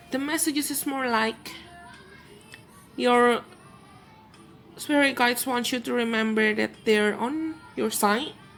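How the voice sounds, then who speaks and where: Music plays in the background as the speaker goes at a fairly slow pace with ordinary pitch variation and long, frequent pauses. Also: woman, high pitch for a woman. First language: Indonesian. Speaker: tarot card reader. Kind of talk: tarot reading.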